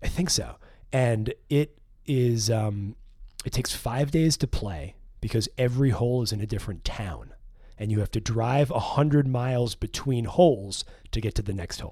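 The voice has a dark, mellow tone, is somewhat breathy, and comes with an American accent. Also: man, medium pitch for a man, ordinary pitch variation, moderate pace. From New York City. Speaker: filmmaker and writer, former golf caddie. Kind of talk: casual chat. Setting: studio.

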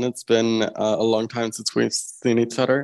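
Flat, monotone speech comes in a Czech accent. The sound is dry and close with no echo. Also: man. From Czech Republic. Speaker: LGBTQ rights activist, former youth delegate. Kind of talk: interview.

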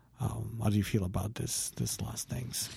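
A man speaks at fairly low pitch in a dark, mellow tone. His voice is somewhat breathy, with fairly even intonation. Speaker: philosophy podcast co-host. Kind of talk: casual chat. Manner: halting.

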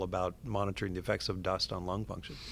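A man with an American accent speaks on a very clean recording with a silent background. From US Pacific Northwest, southwestern Washington. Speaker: astronaut and physician. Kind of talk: interview.

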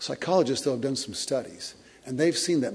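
Heard with noticeable background noise and audible room echo, a man speaks. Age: 50s. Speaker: pastor. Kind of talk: sermon. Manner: halting.

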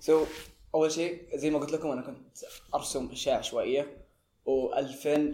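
His voice sits fairly high and carries a dark, mellow tone. The man delivers his words at a moderate pace. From Saudi Arabia, Tabuk. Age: young. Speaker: art magazine founder, university student. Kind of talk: podcast interview. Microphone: poor recording quality.

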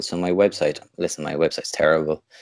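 Here a man speaks in a Limerick accent with a very deep, low pitch. He keeps a moderate pace with ordinary pitch variation. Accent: Irish (Limerick). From Ireland, Limerick. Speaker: wedding photographer. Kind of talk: casual interview.

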